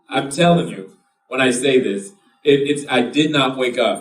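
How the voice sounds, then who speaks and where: Over music in the background, a man with a medium pitch speaks at a moderate pace. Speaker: real estate investor speaking at an event. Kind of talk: live seminar talk. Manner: animated.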